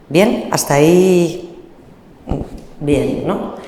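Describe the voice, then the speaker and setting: Amid noticeable background noise and audible room echo, a woman with a fairly low pitch speaks with ordinary pitch variation. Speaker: panelist on motherhood and queer families. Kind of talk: panel talk. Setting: venue with live audience. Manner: hesitant fillers.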